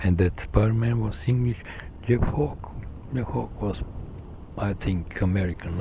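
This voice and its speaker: A man with a Slovenian accent speaks at a fairly low pitch. Noticeable background noise runs under his voice. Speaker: vlogger. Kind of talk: solo monologue recording. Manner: halting, many fillers.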